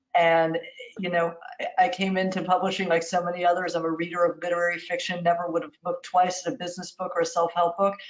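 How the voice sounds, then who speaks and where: Against noticeable background noise, a woman with an American accent talks at a very fast pace and a fairly low pitch in a monotone, flat delivery. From New York. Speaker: literary agent. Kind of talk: interview. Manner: warm.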